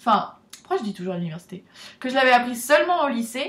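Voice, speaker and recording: Through noticeable background noise, a woman talks at a fairly quick pace in a fairly high pitch. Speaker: vlogger, student abroad. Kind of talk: casual vlog talk.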